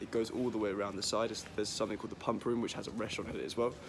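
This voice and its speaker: This clip features a man talking. Background noise is clearly noticeable throughout. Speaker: student guide. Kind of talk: casual vlog chat. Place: street. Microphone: phone near.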